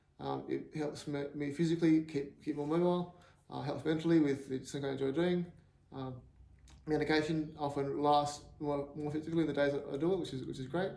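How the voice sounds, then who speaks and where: In an Australian accent, a man speaks fairly quickly at a fairly high pitch, with a dark, mellow tone and monotone, flat intonation. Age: 40s. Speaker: axe thrower with Parkinson's. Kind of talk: personal appeal to camera. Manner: hesitant, halting, repeats words.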